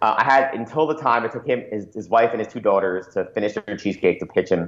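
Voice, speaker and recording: Talking at a very fast pace with an American accent, a man uses a medium pitch and ordinary pitch variation. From Florida. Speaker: startup founder and CEO. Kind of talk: interview.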